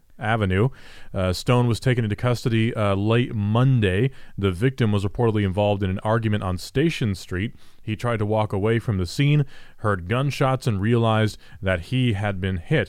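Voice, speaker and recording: A man with an American accent has a normal speaking voice, fairly low in pitch, with ordinary pitch variation at a moderate pace. The recording is very clean, with a silent background. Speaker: news headline reader and co-host. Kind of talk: casual banter and news reading.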